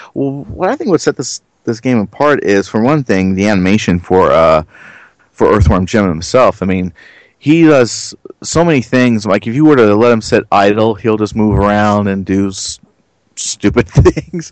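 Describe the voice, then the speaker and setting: A man talks at a moderate pace with a fairly low pitch and lively intonation. It is a normal speaking voice. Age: 30s. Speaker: gaming YouTuber. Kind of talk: casual chat.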